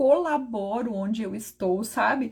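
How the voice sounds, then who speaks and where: A woman's fairly high voice with ordinary pitch variation and an animated tone, over noticeable background noise. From southern Brazil, Rio Grande do Sul. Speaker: preacher leading online prayer. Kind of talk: sermon.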